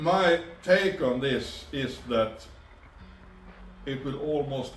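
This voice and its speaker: A man speaks at medium pitch. Audible room echo and noticeable background noise are present. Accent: Swedish. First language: Swedish. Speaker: two-stroke engine tuner. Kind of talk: tutorial. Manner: halting.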